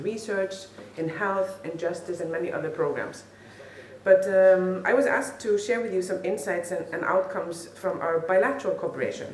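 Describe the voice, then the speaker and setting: A woman at a medium pitch with ordinary pitch variation, amid audible room echo and noticeable background noise. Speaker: funding program representative. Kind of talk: conference speech. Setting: conference hall with audience and interpreter. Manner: fast.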